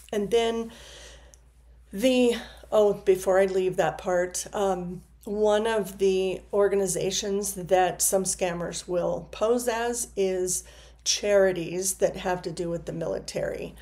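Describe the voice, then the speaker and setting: A woman's medium-pitched, dark, mellow voice, very slow and fairly even in intonation. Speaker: counselor. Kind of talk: informational video talk to camera. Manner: some stumbling and filler words.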